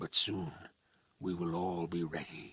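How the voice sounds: This put-on character voice moves at a fairly slow pace with little pitch movement. It carries a husky, rough edge and a fairly bright tone. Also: man.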